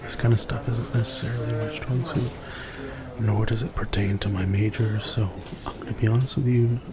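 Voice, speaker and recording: Over noticeable background noise, a man speaks at a fairly quick pace, medium in pitch and fairly even in intonation. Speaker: ASMR roleplay performer playing a classmate in a study session. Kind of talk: ASMR roleplay, casual study-session talk. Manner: casual, conversational, hesitant with filler words.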